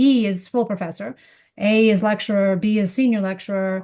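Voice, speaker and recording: A woman with an American accent speaks in a dark, mellow, somewhat breathy tone. Her intonation stays fairly even over a quiet background. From United States. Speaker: economics professor. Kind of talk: interview seminar.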